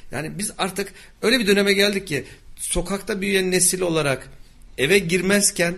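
A man speaks at a moderate pace. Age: 40s. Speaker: radio host. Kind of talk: radio interview.

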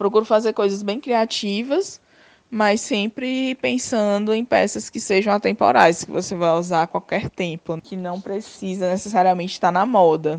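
Recorded dry and close with no echo, a woman has an unremarkable speaking voice at medium pitch, with ordinary pitch variation and a moderate pace. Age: 30s. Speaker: fashion designer and entrepreneur. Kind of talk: interview.

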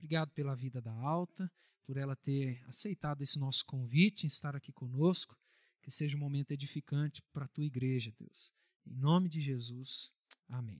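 A man's fairly high, somewhat breathy voice at a moderate pace, dry and close with no echo on a very clean recording with a silent background. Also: ordinary pitch variation. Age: 30s. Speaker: pastor. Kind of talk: church announcements; prayer. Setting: church.

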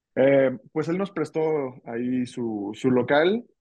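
This is a man with a plain, everyday voice. His pitch variation is ordinary. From Ciudad Guzmán, Jalisco, Mexico. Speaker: drummer. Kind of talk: casual interview chat.

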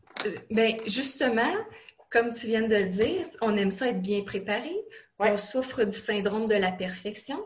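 At a fairly slow pace, a woman speaks with a fairly high pitch and ordinary pitch variation. Audible room echo and noticeable background noise are present. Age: 40s. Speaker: online college student. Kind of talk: interview.

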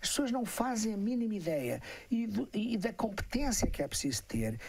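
A man talks in a high-pitched voice. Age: 70s. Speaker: cybersecurity expert, professor. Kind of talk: interview on a live stream. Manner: halting, with many repetitions.

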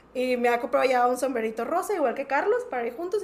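Speaking at a very fast pace, a woman with a high voice moves through very wide pitch swings. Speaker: podcast guest, music fan. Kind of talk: casual chat.

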